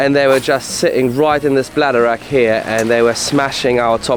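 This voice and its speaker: A man at a fairly quick pace against noticeable background noise. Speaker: fishing video host. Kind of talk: casual on-location fishing chat.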